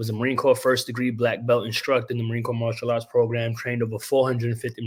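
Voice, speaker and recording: A man talks very fast in an animated tone. His voice is somewhat breathy and medium in pitch. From New York, Brooklyn (Williamsburg), Puerto Rican family. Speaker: pro wrestler, actor, stuntman and Marine veteran. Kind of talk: podcast interview.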